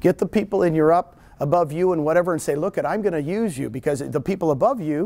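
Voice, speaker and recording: A loud, animated man with a high pitch and lively intonation. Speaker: real estate broker and recruiter. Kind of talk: seminar talk. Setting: room with live audience, no microphone.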